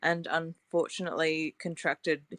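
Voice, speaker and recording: A woman speaks with an Australian accent at a very deep, low pitch. The sound is dry and close, with no echo. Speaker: scientist and long covid advocate. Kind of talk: panel discussion. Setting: online audio room.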